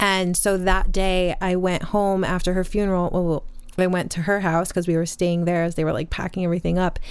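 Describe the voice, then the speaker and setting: At a fairly quick pace, a woman of medium pitch speaks in a monotone, flat intonation with very even loudness. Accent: American. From upstate New York. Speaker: spiritual teacher. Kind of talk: casual chat.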